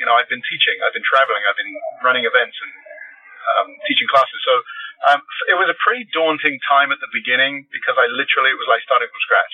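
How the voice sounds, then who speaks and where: A man speaks at a very fast pace amid noticeable background noise. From London, England. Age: 50s. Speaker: life coach and psychotherapist. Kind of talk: casual interview. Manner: repeats words when speaking.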